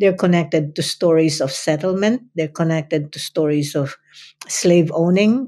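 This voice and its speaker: The voice has a dark, mellow tone, ordinary pitch variation and a moderate pace. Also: woman, fairly low pitch for a woman. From Philippines (Central Luzon, Kapampangan). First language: Kapampangan / Filipino. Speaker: retired professor. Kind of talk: interview. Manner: halting, with repetitions.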